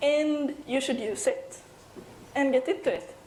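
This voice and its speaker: In a European accent, a woman with a high voice speaks amid audible room echo. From Sweden. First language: Swedish. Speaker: software developer and conference speaker. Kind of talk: conference talk. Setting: stage with audience. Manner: animated.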